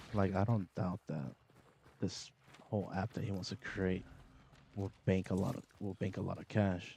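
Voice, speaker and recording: A man with a very deep, low pitch and a dark, mellow tone talks at a moderate pace, keeping his intonation fairly even and leaving long, frequent pauses. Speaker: gaming streamer. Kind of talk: casual chat. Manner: loud.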